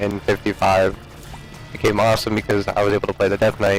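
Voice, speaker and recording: A man speaks at a moderate pace in a fairly low pitch with monotone, flat intonation, music playing in the background. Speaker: gaming commentator; military veteran. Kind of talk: casual gameplay commentary. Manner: loud.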